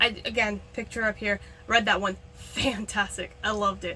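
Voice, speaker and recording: The speaker is a woman. There is noticeable background noise. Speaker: author and freelance editor. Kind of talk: casual vlog talk. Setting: filming in a backyard shed. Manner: fast.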